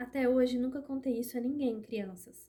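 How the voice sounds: A woman's hoarse, high-pitched put-on character voice at a moderate pace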